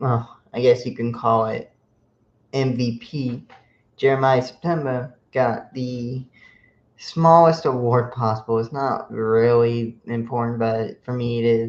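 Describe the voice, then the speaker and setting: Soft-spoken and fairly even in intonation, a man talks at a fairly slow pace. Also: medium pitch for a man. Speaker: sports podcast host. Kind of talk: casual sports podcast monologue.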